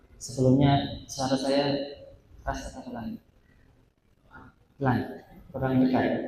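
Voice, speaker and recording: Soft-spoken and somewhat breathy, a man with a dark, mellow tone speaks at medium pitch and a fairly slow pace, his intonation fairly even, with long, frequent pauses and audible room echo. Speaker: Islamic preacher. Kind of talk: sermon. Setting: mosque. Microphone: too quiet at first.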